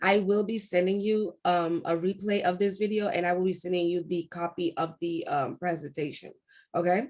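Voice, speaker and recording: At a moderate pace, the speaker uses an ordinary speaking voice with fairly even intonation. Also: woman. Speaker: hairstylist and braiding teacher. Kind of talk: online class. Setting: video call.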